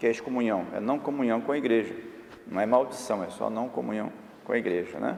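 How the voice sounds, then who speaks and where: A man talks fairly quickly at a medium pitch. His pitch varies in an ordinary way. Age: 60s. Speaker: bishop. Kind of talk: documentary interview.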